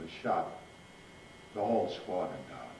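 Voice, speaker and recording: There is noticeable background noise as a man talks in an American accent. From Rhode Island, USA. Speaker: war veteran, naval aviator. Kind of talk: interview answer, war recollection. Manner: soft-spoken.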